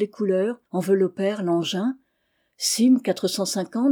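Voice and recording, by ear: Reading aloud in a natural voice against a quiet background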